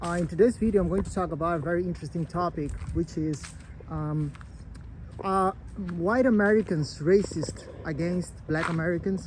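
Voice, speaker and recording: The speaker talks at a fairly quick pace with a non-native accent. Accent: noticeable foreign. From outside the US. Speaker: YouTuber. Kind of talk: personal vlog commentary. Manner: halting, many fillers and repetitions.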